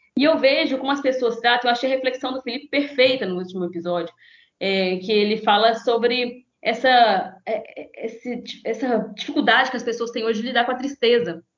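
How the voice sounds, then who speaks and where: Speech at a fairly quick pace with ordinary pitch variation. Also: woman, high pitch for a woman. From Minas Gerais, Brazil (Conselheiro Pena, near Governador Valadares). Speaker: podcast collaborator and union activist. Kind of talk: casual chat.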